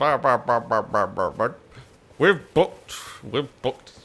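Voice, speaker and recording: Putting on a character voice, a man talks at a fairly slow pace in a fairly high pitch. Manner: grumpy, entitled.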